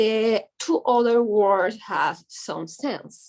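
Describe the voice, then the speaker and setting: The speaker talks at a very slow pace with a Spanish accent. Pitch rises and falls in an ordinary way. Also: woman. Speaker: image consultant. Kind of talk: reading aloud. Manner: halting.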